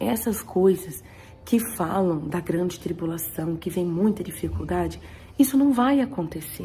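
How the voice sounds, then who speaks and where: A woman's fairly low voice at a fairly slow pace, with very wide pitch swings. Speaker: churchgoer sharing testimony. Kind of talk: testimony.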